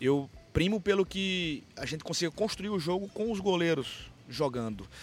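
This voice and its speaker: Very wide pitch swings mark this man's fairly high voice. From Pernambuco, Brazil (Caruaru). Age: 30s. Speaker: football coach. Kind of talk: interview.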